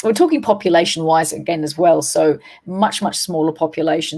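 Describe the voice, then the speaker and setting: A woman's very deep, low voice at a fairly quick pace, with ordinary pitch variation and music in the background. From Australia. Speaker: paranormal investigator and trainer. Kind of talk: interview.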